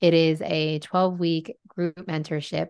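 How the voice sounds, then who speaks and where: Against a quiet background, a woman with a very deep, low pitch speaks in a fairly even intonation. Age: 30s. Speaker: Reiki healer and spiritual coach. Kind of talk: casual chat.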